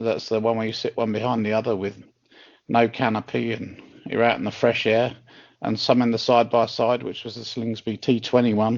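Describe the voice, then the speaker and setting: With a southern English accent, a man speaks at a moderate pace in a medium pitch, his intonation monotone and flat. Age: 60s. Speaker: glider pilot and instructor. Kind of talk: interview.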